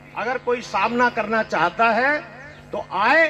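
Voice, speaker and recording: A man raises and projects his voice at an extremely high pitch. Music plays in the background. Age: 70s. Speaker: farmer leader. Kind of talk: media interview; speech at a rally.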